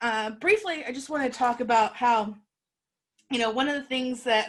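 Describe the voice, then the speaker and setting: Her pitch sits high, and the woman's voice rises and falls with ordinary pitch variation. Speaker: workshop presenter. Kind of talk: workshop presentation. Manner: fast; animated.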